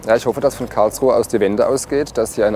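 Faint music plays in the background as a man speaks in a dry recording with no echo. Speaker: politician. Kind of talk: interview answer. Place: street. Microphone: lapel.

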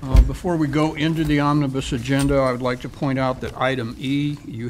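The voice shows little pitch movement and moves at a moderate pace. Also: man.

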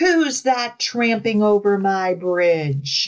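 Bellowing loudly in a put-on character voice, the speaker holds a fairly high pitch and moves at a very slow pace. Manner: roaring.

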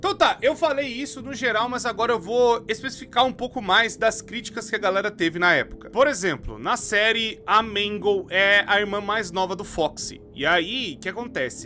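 A man's raised, projected voice with hardly any pauses, over faint music in the background. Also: ordinary pitch variation, moderate pace. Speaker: video commentator. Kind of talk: casual commentary. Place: home room. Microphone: studio mic.

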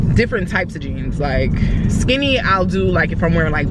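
The background noise is loud. A woman speaks, and the sound is dry with no echo. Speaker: vlogger. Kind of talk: casual vlog chat. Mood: frustrated venting about jeans. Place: car. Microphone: phone near.

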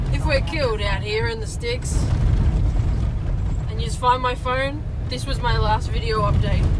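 Over loud background noise, the speaker goes at a moderate pace with long, frequent pauses. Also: woman. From Australia. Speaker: travel vlogger. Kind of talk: casual travel vlog talk. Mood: joking, a bit grumpy. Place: car. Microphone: phone near.

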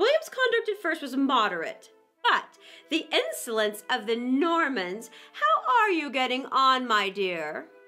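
Using a put-on character voice, a woman speaks at a fairly slow pace in a high, bright, sharp tone with very wide pitch swings while faint music plays in the background.

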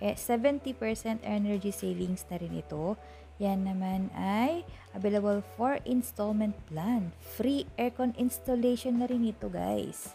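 Faint music plays in the background as a woman talks at a very slow pace. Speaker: vlogger showing store products. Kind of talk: casual vlog product walkthrough. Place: shop. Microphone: phone near.

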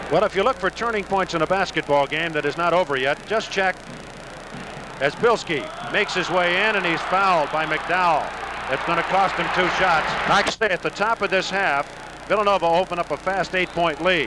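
With music in the background and a dry sound with no echo, a man speaks at a fairly quick pace. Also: ordinary pitch variation. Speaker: TV play-by-play announcer. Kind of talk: sports commentary. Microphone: old recording.

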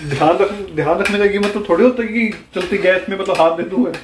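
This man talks at a fast pace in a high-pitched voice, with audible room echo around him. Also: ordinary pitch variation.

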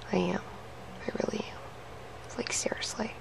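A woman is whispering. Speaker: daily vlogger. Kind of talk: casual vlog chat. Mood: frazzled, exasperated. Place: home room. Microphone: webcam.

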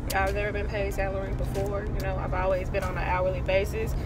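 Loud background noise with a dry sound and no echo. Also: woman. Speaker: vlogger. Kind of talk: casual vlog chat. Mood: uncertain, thoughtful. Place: car. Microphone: phone near.

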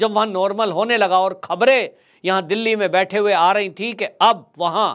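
Over a quiet background, a man speaks at a high pitch. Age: 40s. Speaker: political commentator. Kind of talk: political commentary monologue. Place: studio. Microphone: lapel.

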